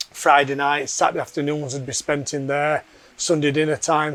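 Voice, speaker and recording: A man speaks with a Yorkshire accent. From Yorkshire, England. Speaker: fitness program member. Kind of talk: testimony interview.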